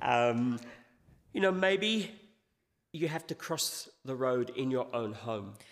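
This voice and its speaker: A man speaks at medium pitch with very wide pitch swings. His delivery is very slow, broken by long, frequent pauses. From England. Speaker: visiting pastor. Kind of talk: sermon with interpreter. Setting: church. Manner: pausing phrase by phrase for interpretation.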